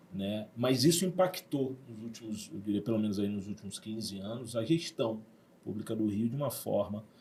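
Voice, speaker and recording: A man speaks with a Rio de Janeiro accent at a medium pitch and moderate pace. His dark, mellow voice is somewhat breathy, with ordinary pitch variation. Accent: carioca. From Rio de Janeiro, Brazil (Zona Sul). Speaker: university director. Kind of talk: podcast interview. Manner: hesitant, many fillers.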